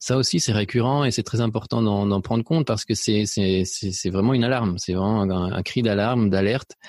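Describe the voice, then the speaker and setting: A man speaks at a fairly low pitch and a fairly quick pace, with ordinary pitch variation. His loudness stays very even and he hardly pauses at all. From Spain, then France and Belgium. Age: 40s. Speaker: photographer and painting teacher. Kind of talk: podcast interview. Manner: hesitant, many repetitions and fillers.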